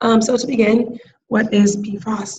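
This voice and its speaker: A woman's somewhat breathy voice holds a monotone, flat intonation. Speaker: graduate student presenter. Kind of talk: class presentation. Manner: hesitant, many filler ums.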